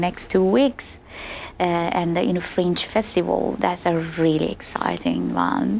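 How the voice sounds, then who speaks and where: A woman with an Iranian accent, speaking very slowly over noticeable background noise. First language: Farsi. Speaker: opera singer. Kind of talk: interview. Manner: hesitant, many fillers.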